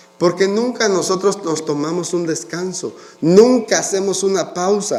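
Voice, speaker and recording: Noticeable background noise and audible room echo surround a man talking at a high pitch. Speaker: pastor. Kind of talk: sermon.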